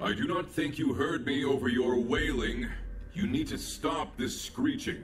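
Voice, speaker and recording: Someone performs a put-on character voice at a moderate pace, with clear background noise. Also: man, fairly high pitch for a man. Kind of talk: synthetic robot speech. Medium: video game. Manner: calm, precise, literal.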